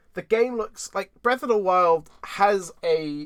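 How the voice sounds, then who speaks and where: A man with a British accent, his pitch swinging very widely. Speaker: podcast host. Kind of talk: casual chat. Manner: animated.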